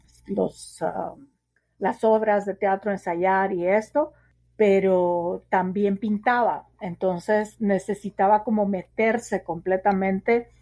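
Against a quiet background, a woman with a dark, mellow tone speaks very slowly in fairly even intonation. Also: medium pitch for a woman. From Guatemala City, Guatemala. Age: 40s. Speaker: sociologist and writer. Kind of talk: interview.

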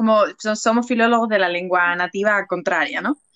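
With an unremarkable speaking voice, the woman talks at a medium pitch that varies in an ordinary way. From Seville, southern Spain. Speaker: podcaster and mother. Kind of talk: casual interview chat.

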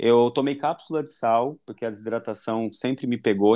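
A man with a normal speaking voice talks at a fairly quick pace and a medium pitch with ordinary pitch variation, on a very clean recording with a silent background. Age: 30s. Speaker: nurse and amateur marathon runner. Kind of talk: casual chat.

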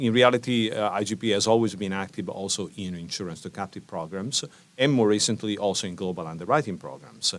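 With an unremarkable speaking voice, a man talks at a fairly quick pace, his fairly low pitch showing ordinary variation. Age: 50s. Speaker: insurance network executive. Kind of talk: interview.

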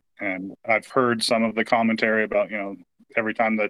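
A man's fairly low-pitched voice at a very fast pace with monotone, flat intonation. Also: dry, close sound with no echo. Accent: West Coast US. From US Pacific Northwest, Portland, Oregon. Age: 40s. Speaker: sports fan. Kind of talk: casual chat.

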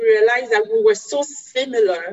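Ordinary pitch variation in a woman's speech. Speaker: regional coordinator and event moderator. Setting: video call.

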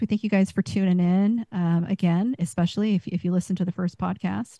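A somewhat breathy woman is heard in a dry, close sound with no echo and a quiet background. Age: 40s. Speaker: podcast co-host. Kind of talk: casual chat.

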